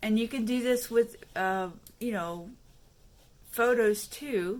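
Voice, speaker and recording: Mumbling at a very slow pace, a woman speaks with a fairly high pitch and ordinary pitch variation. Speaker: craft tutorial youtuber. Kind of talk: tutorial. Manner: halting, filler-heavy. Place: home room. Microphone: phone near.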